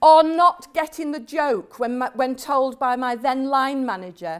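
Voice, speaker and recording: On a very clean recording with a silent background, a high-pitched woman with a Yorkshire accent talks at a fairly slow pace. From West Yorkshire, England (Hemsworth, near Barnsley). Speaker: professor. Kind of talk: lecture.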